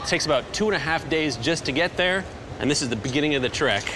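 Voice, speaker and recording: Speech delivered very rapidly, with noticeable noise behind it. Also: man. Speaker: adventure documentary host. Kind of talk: travel documentary piece to camera. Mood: eager, upbeat. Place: hall.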